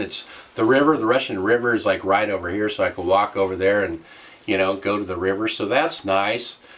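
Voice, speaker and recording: Here a man speaks in a fairly low pitch. His pitch variation is ordinary. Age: 60s. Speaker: YouTuber, widower. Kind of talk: casual vlog update. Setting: small cabin. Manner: halting.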